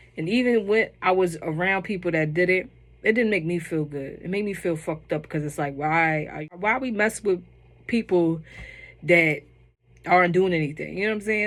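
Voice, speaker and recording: A woman talks at a moderate pace with ordinary pitch variation and long, frequent pauses, on a very clean recording with a silent background. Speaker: TV show reviewer. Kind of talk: casual chat.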